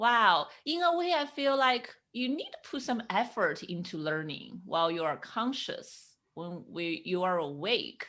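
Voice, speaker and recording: Her fairly high voice has a bright, sharp tone and very wide pitch swings as the woman speaks at a fairly slow pace. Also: very clean recording, silent background. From China. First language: Chinese. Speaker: podcast host, sleep psychologist. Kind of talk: podcast interview.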